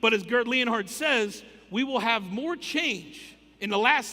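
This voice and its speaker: Pitched high, a man speaks in a raised, projected voice. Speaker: conference speaker. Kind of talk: keynote talk. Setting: stage with audience. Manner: fast.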